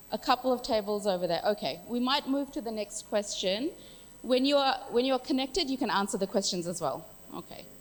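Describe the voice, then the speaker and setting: The voice moves at a fairly quick pace with an animated tone and lively intonation. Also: woman, high pitch for a woman. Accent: Australian. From Australia. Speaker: workshop facilitator. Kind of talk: workshop facilitation.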